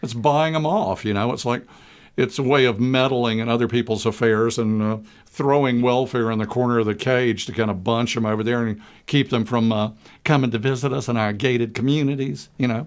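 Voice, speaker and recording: In a very clean recording with a silent background, a man talks at a fairly quick pace with a medium pitch, ordinary pitch variation and a plain, everyday voice. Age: 60s. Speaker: public access talk show co-host. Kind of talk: casual discussion.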